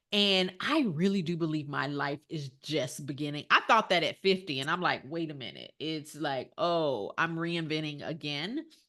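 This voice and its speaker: Against a quiet background, a woman with a very deep, low pitch speaks at a moderate pace in an animated, bright, sharp tone with ordinary pitch variation. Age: 60s. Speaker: life coach guest on interview show. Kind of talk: casual interview conversation.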